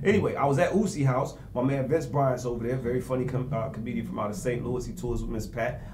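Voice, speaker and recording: At a very fast pace with hardly any pauses, a man speaks in a medium pitch with ordinary pitch variation, amid noticeable background noise. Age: old. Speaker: comedian. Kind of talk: casual chat. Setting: stage with audience. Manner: animated.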